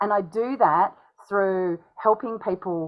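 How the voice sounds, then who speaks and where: A woman speaks with an Australian accent. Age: 40s. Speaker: speaking coach. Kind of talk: interview. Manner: animated.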